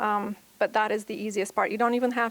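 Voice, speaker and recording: With a non-native accent, a woman speaks at a fairly quick pace in a fairly high pitch. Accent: foreign. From Bulgaria. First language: Bulgarian. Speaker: private school administrator. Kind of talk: conference talk.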